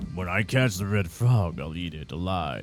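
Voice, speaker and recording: A man's put-on character voice, very deep and low, with lively intonation at a moderate pace, against clear background noise. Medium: game stream.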